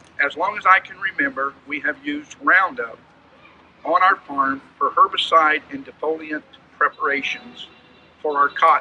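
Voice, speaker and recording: Over noticeable background noise, a man with an American accent speaks at a high pitch, his loudness swinging widely. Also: lively intonation, moderate pace. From California (Bakersfield). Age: 60s. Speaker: farmer. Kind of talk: prepared statement, testimony. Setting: press conference. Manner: formal.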